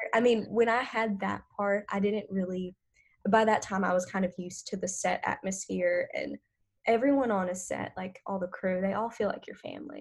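On a very clean recording with a silent background, a woman with a Southern US accent speaks at a moderate pace and medium pitch, somewhat breathy, with ordinary pitch variation. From northern Louisiana, US. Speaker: artist manager and former actress. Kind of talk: interview.

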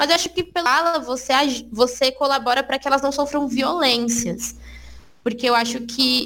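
A woman with a bright, sharp tone and a high pitch talks at a moderate pace, her loudness very even. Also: fairly even intonation. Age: 20s. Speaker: guest. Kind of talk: casual chat.

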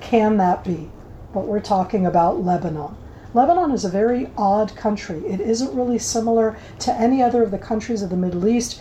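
A woman with an American accent talks at a fairly quick pace with lively intonation. Her pitch is fairly high, and there is noticeable background noise. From United States. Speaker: former military intelligence officer and government spokesperson. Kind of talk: interview.

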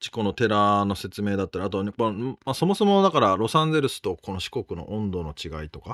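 A man with a plain, everyday voice and a fairly low pitch speaks with lively intonation on a very clean recording with a silent background. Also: dry, close sound with no echo. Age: middle-aged. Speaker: podcast co-host and interviewer. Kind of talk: casual conversational interview.

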